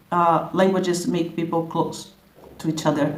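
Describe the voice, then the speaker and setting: A woman speaks with a Brazilian Portuguese accent at a fairly slow pace. Audible room echo surrounds her voice. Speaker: language content creator. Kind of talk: casual vlog introduction. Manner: animated; halting, many repetitions.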